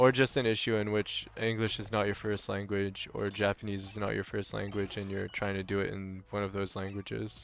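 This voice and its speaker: Over music in the background, a man with a French accent speaks at a fairly quick pace with hardly any pauses, his fairly low voice monotone and flat. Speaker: video game streamer. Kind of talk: live gameplay stream chat. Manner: casual, halting with repeated words.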